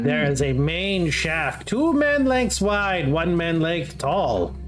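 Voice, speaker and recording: A put-on character voice moves at a very slow pace. Clear music plays in the background. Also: man, high pitch for a man. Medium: actual play. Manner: broken, simple phrasing.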